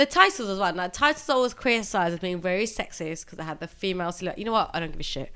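Very fast and with hardly any pauses, a woman in an English accent talks in a bright, sharp tone with big swings in loudness. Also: medium pitch for a woman, lively intonation. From England. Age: 40s. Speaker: podcast co-host. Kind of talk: casual chat.

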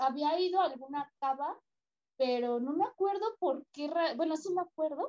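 A woman speaks at a fairly slow pace with a high pitch. Her tone is dark and mellow, and her pitch varies in an ordinary way. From Mexico. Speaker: travel agency worker, tourism graduate. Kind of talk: casual interview chat.

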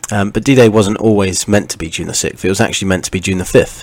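Quiet and fairly low, a man's voice keeps fairly even intonation against noticeable background noise. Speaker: podcast host. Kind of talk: history talk. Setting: at home late at night.

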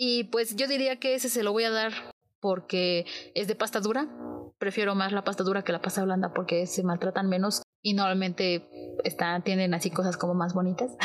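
This woman talks in a Mexican accent, keeping very even loudness and ordinary pitch variation. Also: medium pitch for a woman, moderate pace. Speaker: book podcast host. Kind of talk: casual monologue.

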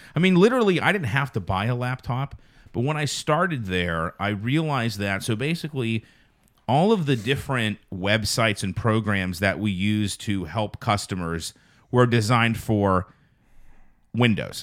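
On a very clean recording with a silent background, a man of medium pitch speaks in a normal speaking voice at a moderate pace with lively intonation. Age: 30s. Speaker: podcast host, car salesman. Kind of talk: casual chat.

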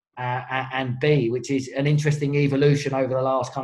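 With music in the background, a man in a London accent speaks fairly quickly at a medium pitch with monotone, flat intonation. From southeast London. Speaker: rugby coach. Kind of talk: casual chat. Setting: video call.

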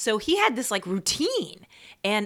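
In a very clean recording with a silent background, a woman with an American accent speaks in a bright, sharp tone with very wide pitch swings. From New York (Queens). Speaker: playwright and performer. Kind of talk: casual chat.

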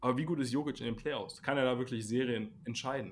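This man speaks at a fairly quick pace. His pitch is medium. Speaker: basketball podcast host. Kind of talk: casual chat. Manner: animated.

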